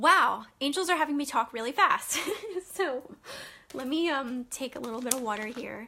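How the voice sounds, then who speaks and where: A woman with a high pitch speaks in a raised, projected voice with ordinary pitch variation and big swings in loudness, over noticeable background noise. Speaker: spiritual healer and angel card reader. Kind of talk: live stream angel card reading. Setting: Facebook live stream. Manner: fast.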